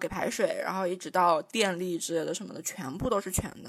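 A woman's ordinary speaking voice at medium pitch, with ordinary pitch variation and a fairly quick pace. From China, Jiangxi. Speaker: podcast co-host, graduate student researcher. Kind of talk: casual chat.

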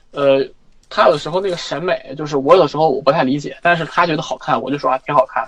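Here a man speaks at a very fast pace. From Inner Mongolia, China. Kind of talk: personal story in consultation. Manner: halting.

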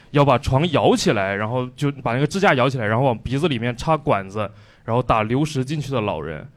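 A man's voice at medium pitch. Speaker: stand-up comedian. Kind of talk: stand-up set. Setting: stage with audience.

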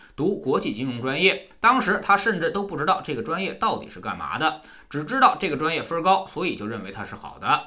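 Talking at a fairly quick pace with hardly any pauses, a man uses a high pitch and a bright, sharp tone, with very wide pitch swings and big swings in loudness. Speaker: book review podcast host. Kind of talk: scripted narration.

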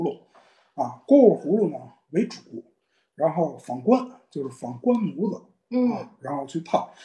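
A man's dark, mellow voice with very wide pitch swings. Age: 40s. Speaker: antiques collector and author. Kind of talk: casual chat. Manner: loud. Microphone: too quiet for some listeners.

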